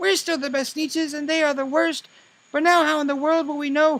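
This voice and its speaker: This is a squeaky, put-on character voice. It moves along at a fairly quick pace. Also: man, extremely high pitch for a man. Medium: read story. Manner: boastful, snooty.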